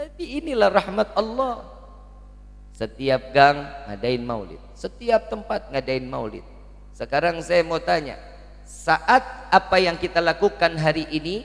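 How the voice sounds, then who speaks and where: A man speaks at a fairly slow pace with a Jakarta accent. Noticeable background noise is present. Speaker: Islamic preacher. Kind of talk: sermon. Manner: interactive, asks audience questions.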